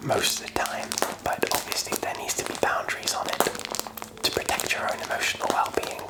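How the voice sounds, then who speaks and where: A man whispers in a relaxed tone at a fairly quick pace, with long, frequent pauses. Noticeable background noise is present. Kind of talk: ASMR whispered ramble. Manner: whispered, soft, relaxed.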